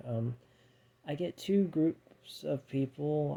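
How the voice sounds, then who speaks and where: A quiet, somewhat breathy man with a dark, mellow tone, fairly high pitch and fairly even intonation. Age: 30s. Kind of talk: casual talk to camera.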